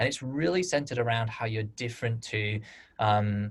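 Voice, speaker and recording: This man speaks at a medium pitch in a British accent, his voice somewhat breathy. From United Kingdom. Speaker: webinar host for crowdfunding platform. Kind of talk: webinar Q&A moderation.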